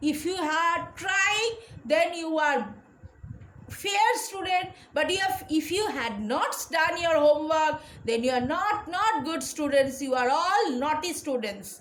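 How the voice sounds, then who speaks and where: In a room with audible echo, a woman with an extremely high pitch speaks very slowly with lively intonation. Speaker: school teacher. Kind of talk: lecture. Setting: recorded online class.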